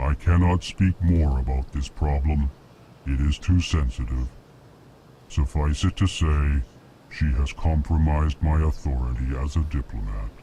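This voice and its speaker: Putting on a character voice, a man talks at a moderate speed with a very deep, low pitch. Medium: video game. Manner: formal, emotionless, states his emotions.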